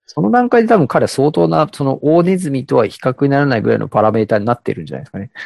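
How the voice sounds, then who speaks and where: Against a quiet background, a man talks at a very fast pace with very wide pitch swings and hardly any pauses. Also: medium pitch for a man, dry, close sound with no echo. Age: 30s. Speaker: podcast co-host. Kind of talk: casual chat. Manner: hesitant, many fillers.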